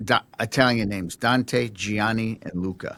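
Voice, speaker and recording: A man with an American accent and a plain, everyday voice speaks at a fairly slow pace and medium pitch on a very clean recording with a silent background. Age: 50s. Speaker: podcast host. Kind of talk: interview.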